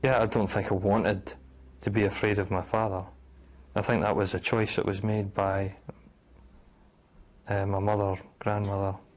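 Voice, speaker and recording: With a Scottish accent, a man speaks at a moderate pace and fairly low pitch, using monotone, flat intonation, very even loudness, and long, frequent pauses. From Scotland, after early childhood in Oregon. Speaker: abduction survivor interviewee. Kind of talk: documentary interview testimony. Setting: on location in Edinburgh.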